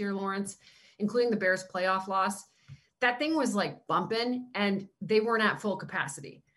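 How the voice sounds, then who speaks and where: A woman speaks with a Canadian accent at a medium pitch. Her voice is somewhat breathy, with ordinary pitch variation. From Canada, small town. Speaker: NFL sideline reporter, former basketball player. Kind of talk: casual interview chat. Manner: animated.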